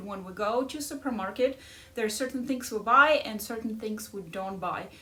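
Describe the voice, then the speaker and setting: A woman with a strong Ukrainian accent speaks at a moderate pace in a fairly high pitch, her intonation lively, over noticeable background noise. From Ukraine. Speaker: life coach. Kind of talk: casual chat.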